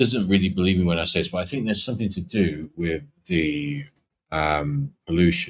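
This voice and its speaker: A man's very deep, low voice at a moderate pace with ordinary pitch variation. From Yorkshire, rural northern England. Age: 40s. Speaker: live streamer. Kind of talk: casual chat.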